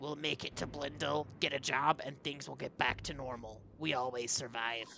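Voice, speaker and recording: Putting on a raspy character voice at a medium pitch, a man talks at a moderate pace with hardly any pauses over clear background noise. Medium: read story. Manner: gruff, curt.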